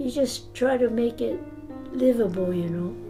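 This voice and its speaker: Music plays behind a woman's fairly high voice. Her pitch varies in an ordinary way. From Malibu, California. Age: 80s+. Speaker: former internment camp detainee. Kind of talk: interview answer.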